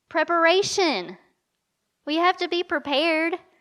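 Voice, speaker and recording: Speaking in an Eastern Kentucky accent, a woman with an extremely high pitch and an animated tone goes at a moderate pace on a very clean recording with a silent background. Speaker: women's conference speaker. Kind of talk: sermon.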